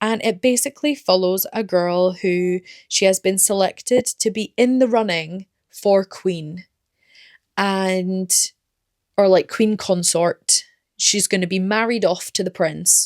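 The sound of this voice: A woman speaks slowly at a medium pitch with ordinary pitch variation, her tone slightly mellow and the sound dry and close with no echo.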